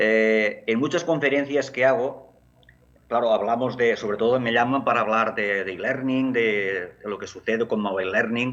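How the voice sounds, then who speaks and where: Pitch varies in an ordinary way as this man talks. His voice is medium in pitch and his pace moderate. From Catalonia, Barcelona area. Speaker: education technology academic. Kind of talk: conference talk. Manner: halting, many fillers.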